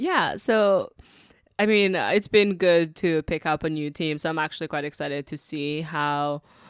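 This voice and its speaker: A woman talks at a moderate pace with ordinary pitch variation. She has an unremarkable speaking voice. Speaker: podcast host. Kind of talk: casual chat. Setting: remote call.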